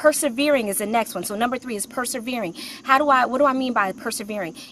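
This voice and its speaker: Speaking very fast over noticeable background noise, a woman uses a high pitch with ordinary pitch variation and big swings in loudness. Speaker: career coach and author. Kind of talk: live stream talk. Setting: outdoors.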